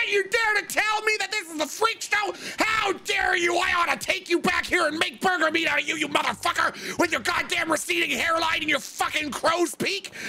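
An extremely high, shouted put-on character voice with hardly any pauses. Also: moderate pace. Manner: shouting, furious, threatening.

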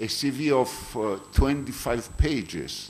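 Over light background noise, a man speaks with a Greek accent. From Greece. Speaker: conference chair. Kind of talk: speaker introduction; formal introduction and moderation. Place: hall. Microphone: podium.

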